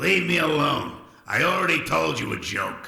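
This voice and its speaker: A man puts on a raspy character voice at a moderate pace. There is a clear echo. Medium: video game. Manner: sullen, grumbling.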